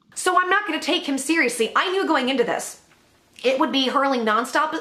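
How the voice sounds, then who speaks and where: A woman's fairly quick, lively-intoned speech sits against noticeable background noise. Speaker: YouTuber. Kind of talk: commentary.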